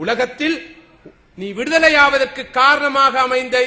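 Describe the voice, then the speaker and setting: A man's raised, projected voice, animated in tone, over noticeable background noise. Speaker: Islamic preacher giving a lecture. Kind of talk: religious sermon (bayan) to an audience. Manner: animated, oratorical, rhetorical questions.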